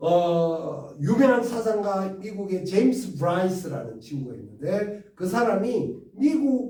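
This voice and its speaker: This man speaks very slowly at a high pitch, with very wide pitch swings. Audible room echo surrounds his voice. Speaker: history lecturer. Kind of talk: lecture. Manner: repetitive, with filler sounds.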